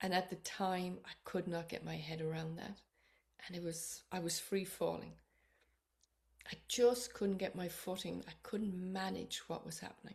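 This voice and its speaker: Speaking in an Irish accent, this voice keeps a moderate pace. It is somewhat breathy, with fairly even intonation. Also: woman, medium pitch for a woman. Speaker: psychotherapist and author. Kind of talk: personal book introduction to camera.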